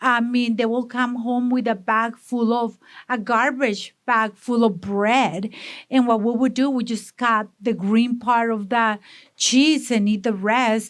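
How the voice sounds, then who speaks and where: A woman speaks with a strong Mexican accent at a fairly high pitch. The recording is very clean, with a silent background. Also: fairly slow pace. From Mexico, Monterrey. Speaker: food business owner. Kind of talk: interview. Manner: energetic.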